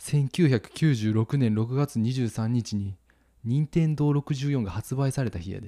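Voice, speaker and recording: A dark, mellow tone in a Kansai accent, very slow, with ordinary pitch variation and a dry, close sound with no echo. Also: man, medium pitch for a man. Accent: Kansai dialect intonation. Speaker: podcast host, couple content creator. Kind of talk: casual chat.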